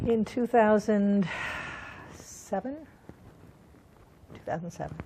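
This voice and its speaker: Over noticeable background noise, a woman speaks at a very slow pace with a fairly high pitch and ordinary pitch variation. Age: 70s. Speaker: sex educator and counselor. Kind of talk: interview. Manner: halting, with fillers.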